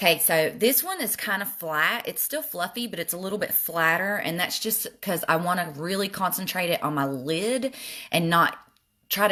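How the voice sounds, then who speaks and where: Heard in a very clean recording with a silent background, a woman with a Southern US accent talks at a moderate pace, her fairly low voice bright and sharp in tone with lively intonation. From US South. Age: middle-aged. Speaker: makeup vlogger. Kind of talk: makeup tutorial with live chat. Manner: casual, chatty.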